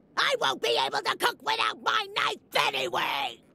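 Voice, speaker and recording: A put-on character voice, shouting. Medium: video game. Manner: grumbling, sarcastic.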